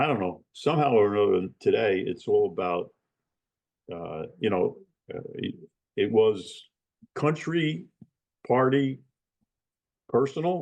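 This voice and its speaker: With a New Jersey accent, a man talks with long, frequent pauses. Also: fairly slow pace. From US Northeast, New Jersey. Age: 80s+. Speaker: retired lawyer. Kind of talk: interview. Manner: casual, with many fillers.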